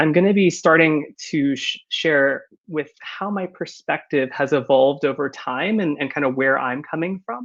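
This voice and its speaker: A man with a Californian accent and a fairly high pitch talks with hardly any pauses. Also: ordinary pitch variation, moderate pace. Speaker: company founder and conference speaker. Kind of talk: conference presentation. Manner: many filler words (uh, um).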